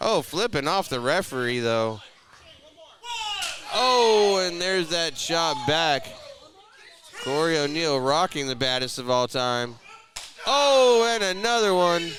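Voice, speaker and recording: A high-pitched man at a very slow pace, with very wide pitch swings, long, frequent pauses and noticeable background noise. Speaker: play-by-play wrestling commentator. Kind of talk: live pro wrestling play-by-play commentary. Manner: excited, animated.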